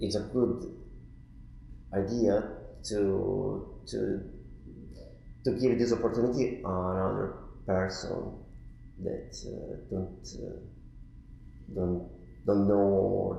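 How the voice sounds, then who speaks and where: Very slow, fairly low male speech with vocal fry, ordinary pitch variation, and long, frequent pauses, plus audible room echo. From Italy, Turin. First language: Italian. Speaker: artist in residence. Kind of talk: interview. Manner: halting.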